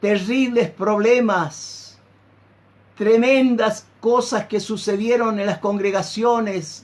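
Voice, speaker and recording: A high-pitched man at a very slow pace, with fairly even intonation. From Argentina, Santiago del Estero. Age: 60s. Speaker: pastor. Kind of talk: sermon.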